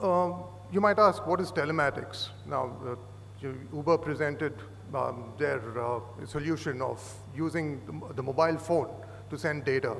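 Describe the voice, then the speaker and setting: Lively intonation marks this man's voice, which also has vocal fry. He keeps a moderate pace with long, frequent pauses, over light background noise. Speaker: conference presenter. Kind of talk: lecture. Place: hall. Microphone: podium.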